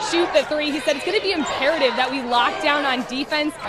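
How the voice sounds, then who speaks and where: Over noticeable background noise, a woman talks at a fairly quick pace in a high pitch, with ordinary pitch variation. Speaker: sports broadcaster. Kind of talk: sideline report relaying a coach's halftime or timeout comments.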